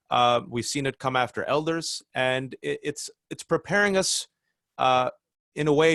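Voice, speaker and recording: In a dry, close sound with no echo, a normal speaking voice delivers lively intonation. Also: man. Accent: American. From California, Bay Area. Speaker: writer and commentator. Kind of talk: interview. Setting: video call.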